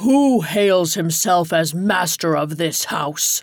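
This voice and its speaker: Booming in a put-on character voice at middle pitch, the speaker goes very slowly over music in the background. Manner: commanding shout.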